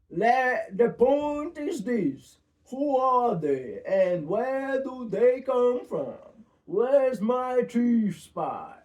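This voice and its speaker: In a put-on character voice with fairly high pitch, the speaker goes at a very slow pace. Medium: read story.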